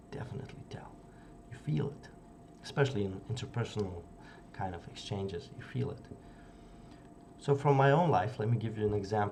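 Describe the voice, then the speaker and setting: A man's fairly low voice at a fairly quick pace, with ordinary pitch variation, noticeable background noise and audible room echo. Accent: non-native. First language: not English. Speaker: youtuber discussing psychology books. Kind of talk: casual video essay. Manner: halting with fillers.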